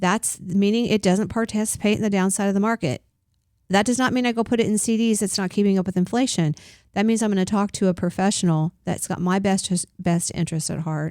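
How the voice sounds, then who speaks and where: Very fast speech with ordinary pitch variation on a very clean recording with a silent background. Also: woman, medium pitch for a woman. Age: 60s. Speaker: financial advisor, radio co-host. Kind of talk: radio talk show discussion.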